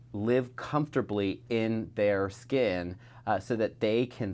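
The man's voice sits at a fairly low pitch, with fairly even intonation. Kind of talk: interview answer. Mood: earnest, critical. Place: office.

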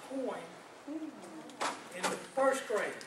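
Fairly slowly, a man speaks in an extremely high voice with a Southern US accent. The recording has audible room echo and noticeable background noise. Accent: Southern American. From US South, Georgia. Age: 80s+. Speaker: board member. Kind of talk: casual remarks. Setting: board meeting.

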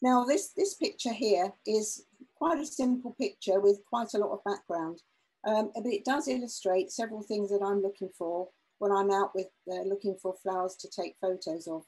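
A woman's dark, mellow tone at a moderate pace, with ordinary pitch variation. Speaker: presenter. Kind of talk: lecture. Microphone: webcam.

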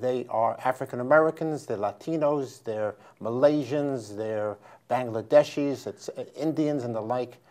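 A man with a New York accent, medium pitch and a fairly slow pace, over a quiet background. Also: ordinary pitch variation, big swings in loudness. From New York, the Bronx. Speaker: history professor and author; history professor. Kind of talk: interview. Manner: halting. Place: studio. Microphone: lapel.

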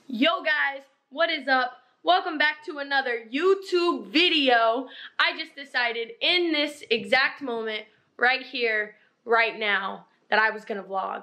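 A woman's raised, projected voice with a bright, sharp tone and lively intonation, at a fairly slow pace over a quiet background. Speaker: fitness vlogger. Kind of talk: casual vlog chat. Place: home room. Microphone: phone near.

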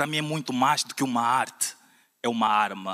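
A man with a bright, sharp tone, fairly slow pace and ordinary pitch variation, over a quiet background. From Portugal. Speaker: slam poet. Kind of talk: spoken word poetry performance, rhymed and rhythmic. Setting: stage with audience at a slam final. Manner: impassioned, declamatory, rhythmic with punchy rhymes; emphatic, building in intensity toward a rousing close. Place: church.

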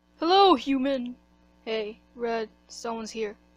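A female-sounding voice, fairly high in pitch, performs a put-on character voice. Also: fairly slow pace. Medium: audio drama. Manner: friendly.

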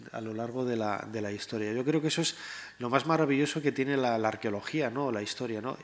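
Speaking at a fairly quick pace, a man uses ordinary pitch variation. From Spain, León; Spain. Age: 40s. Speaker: historian and writer; panelist. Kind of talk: panel discussion. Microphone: podium.

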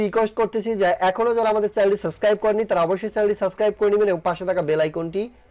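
A man is talking. He has a high pitch. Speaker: tech YouTuber. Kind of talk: tutorial. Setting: screen recording at computer.

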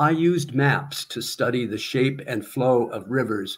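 A man with an American accent has a somewhat breathy, medium-pitched voice with ordinary pitch variation. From US Midwest, small-town Iowa. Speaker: retired teacher and poet with Parkinson's; guest. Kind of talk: poetry reading, a free-verse river poem performed aloud in numbered sections. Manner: slow, measured and reflective, with deliberate pauses between images; hesitant, with repeated words and restarts. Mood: reflective, measured. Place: home room. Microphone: webcam.

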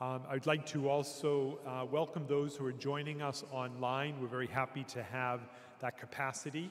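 With fairly even intonation, the man keeps to a moderate pace. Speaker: priest welcoming the audience. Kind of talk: welcome remarks and opening prayer. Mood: warm, welcoming. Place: church. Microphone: podium.

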